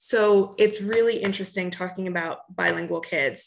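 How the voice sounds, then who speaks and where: A woman speaks against a quiet background. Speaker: speech-language pathologist; presenter. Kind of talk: tutorial. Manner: halting, frequent disfluencies and fillers. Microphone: webcam.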